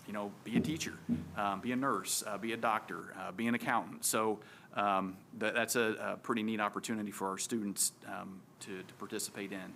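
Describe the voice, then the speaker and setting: A man's fairly low, bright and sharp voice at a fairly quick pace, with fairly even intonation and big swings in loudness. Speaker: school administrator presenting to board. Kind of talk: board meeting presentation. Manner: fast; many filler words (um, uh).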